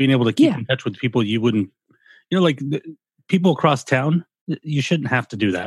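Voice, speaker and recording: On a very clean recording with a silent background, a somewhat breathy man with an American accent and a medium pitch talks very fast, yet with long, frequent pauses. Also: lively intonation. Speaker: podcast host. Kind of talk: casual chat.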